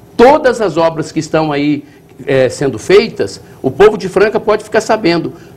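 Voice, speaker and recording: Noticeable background noise underlies a man talking at a fairly slow pace in a high pitch with lively intonation. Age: 60s. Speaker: municipal finance secretary. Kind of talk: TV interview.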